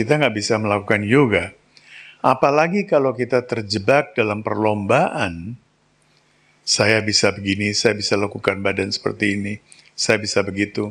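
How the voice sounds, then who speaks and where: This man has an ordinary speaking voice. He speaks at a moderate pace with a fairly low pitch. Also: ordinary pitch variation, very clean recording, silent background. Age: 60s. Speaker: spiritual teacher. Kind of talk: spiritual talk.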